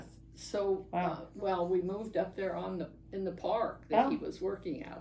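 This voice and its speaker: Noticeable background noise surrounds a woman with an American accent who talks at a moderate pace and medium pitch with ordinary pitch variation. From Oregon, USA. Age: 80s+. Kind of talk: interview answer. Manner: hesitant, searching for words.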